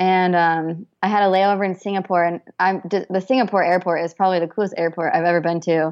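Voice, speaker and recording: A woman talks at a fairly quick pace in an unremarkable speaking voice. Her pitch is medium. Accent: American. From US, Idaho (Boise). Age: 20s. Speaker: photographer. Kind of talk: interview. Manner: casual, many fillers and repetitions.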